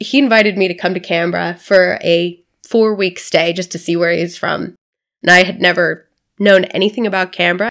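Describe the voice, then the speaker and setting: Speaking fairly quickly in a normal speaking voice, a woman with an American accent keeps a medium pitch and fairly even intonation. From US South (Florida). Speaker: not-for-profit founder. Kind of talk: interview.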